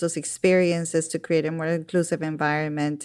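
Fairly low-pitched woman with a Spanish accent at a fairly quick pace, on a very clean recording with a silent background. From Colombia. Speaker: university professor and education expert. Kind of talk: interview discussion.

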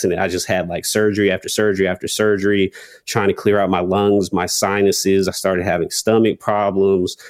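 A man talks with an American accent at a fairly low pitch. His intonation is monotone and flat. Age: 20s. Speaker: rapper and content creator. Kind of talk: interview.

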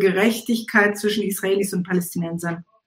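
Fairly even intonation and a moderate pace, the voice somewhat breathy. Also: woman. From Israel, Eilat; raised East Africa and Germany. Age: 60s. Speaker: musician and activist. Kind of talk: casual chat.

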